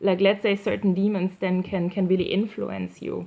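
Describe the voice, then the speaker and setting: Speaking in a monotone, flat intonation, a woman with a non-native accent holds a medium pitch. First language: not English. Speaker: YouTuber sharing targeted individual experiences. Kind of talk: personal monologue video. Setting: indoors at night by candlelight. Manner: halting, many fillers and repetitions.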